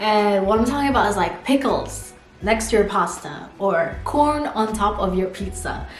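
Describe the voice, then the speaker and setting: A woman's medium-pitched voice with an American accent, ordinary pitch variation and a moderate pace, amid audible room echo and noticeable background noise. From US. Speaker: vlogger, exchange student. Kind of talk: casual vlog talk to camera. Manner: chatty, lots of fillers.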